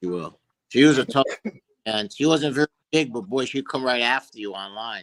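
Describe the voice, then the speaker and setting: A man at medium pitch talks at a fairly quick pace with ordinary pitch variation, big swings in loudness and long, frequent pauses. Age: 60s. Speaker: bulldog breeder. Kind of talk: casual chat. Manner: halting.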